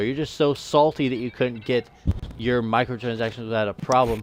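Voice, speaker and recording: Over music in the background, the speech runs at a fairly quick pace with ordinary pitch variation. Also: man. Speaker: gaming podcast host. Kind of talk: casual chat. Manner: stuttering when agitated.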